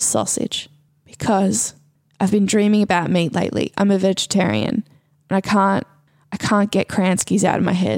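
With ordinary pitch variation, a woman speaks at medium pitch in a slightly mellow tone.

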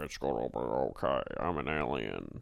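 Using a put-on character voice, a man talks at a moderate pace with a very deep, low pitch. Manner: reassuring, comic.

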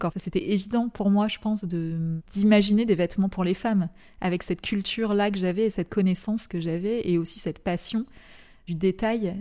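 A woman's dark, mellow voice at medium pitch and moderate pace, fairly even intonation, in a very clean recording with a silent background. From Paris suburbs, France. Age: 30s. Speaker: fashion entrepreneur. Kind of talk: interview. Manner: halting, many hesitations.

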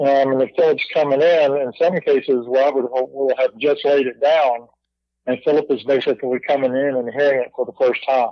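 With fairly even intonation and a fairly high pitch, a man uses a normal speaking voice at a moderate pace. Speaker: musician. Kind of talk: casual chat.

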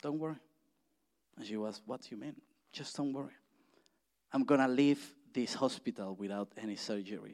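A man with a Spanish accent at a fairly quick pace, with long, frequent pauses, big swings in loudness and ordinary pitch variation. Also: medium pitch for a man. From Mexico. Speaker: church speaker. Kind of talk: sermon. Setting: church. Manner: halting.

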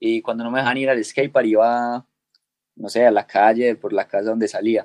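The man's pitch sits in the medium range, and he talks at a fairly quick pace. The sound is dry and close, with no echo. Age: 20s. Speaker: skateboarder. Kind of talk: interview.

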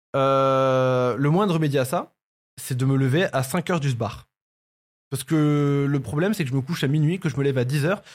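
A somewhat breathy man of medium pitch with ordinary pitch variation, in a very clean recording with a silent background. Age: 20s. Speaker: YouTuber and podcast host. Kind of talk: casual chat.

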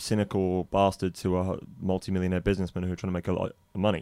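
The background is silent in this very clean recording. A man talks in a very deep, low voice. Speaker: sports editor and podcast host. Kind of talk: casual chat about football.

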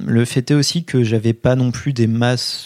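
The speaker talks at a fairly slow pace with ordinary pitch variation in a very clean recording with a silent background. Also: man. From France, Poitiers. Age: 20s. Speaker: history student. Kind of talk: interview testimony. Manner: hesitant with fillers.

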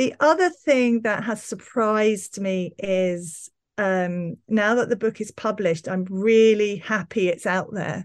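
A woman's normal speaking voice at medium pitch, with ordinary pitch variation, a fairly slow pace, hardly any pauses, and a quiet background. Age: 50s. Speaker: novelist and TV scriptwriter. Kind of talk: interview about writing.

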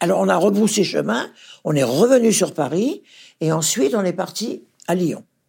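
At a moderate pace, a woman speaks with a fairly low pitch, a dark, mellow tone, a slightly husky edge, vocal fry and lively intonation.

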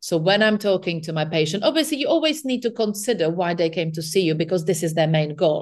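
In a non-native accent, the speaker rushes along at a very fast pace with hardly any pauses. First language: not English. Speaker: nutritional therapist. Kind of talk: interview.

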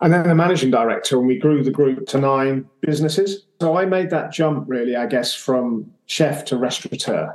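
Here is a man with an English accent. His pace is moderate. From England. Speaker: podcast guest, former chef and restaurateur. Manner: conversational storyteller.

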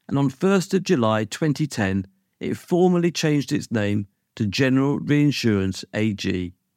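Speaking in a British accent at a moderate pace, a man swings his pitch very widely. The sound is dry and close with no echo, on a very clean recording with a silent background. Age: 50s. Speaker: podcast host and insurance lawyer. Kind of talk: scripted narration.

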